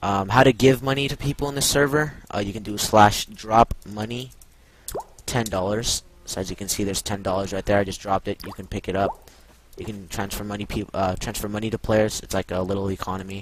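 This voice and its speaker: Over music in the background, a man speaks at a fairly quick pace with fairly even intonation. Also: fairly low pitch for a man. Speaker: gaming tutorial youtuber. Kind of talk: tutorial. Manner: stutters and uses many fillers; casual.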